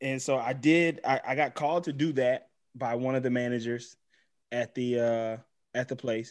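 Against a very clean recording with a silent background, a man speaks at a moderate pace. His pitch is medium and his intonation fairly even. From Los Angeles, raised from age eight; born Mississippi. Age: 30s. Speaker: TV writer, improviser and actor. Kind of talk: casual chat.

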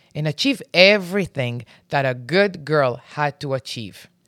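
A woman speaks with a very deep, low pitch and lively intonation, recorded very cleanly against a silent background with a dry, close sound and no echo. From Israel. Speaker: business mentor. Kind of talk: personal monologue.

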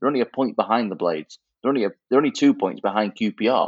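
A man talks at a very fast pace. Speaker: podcast co-host. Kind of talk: casual football podcast discussion.

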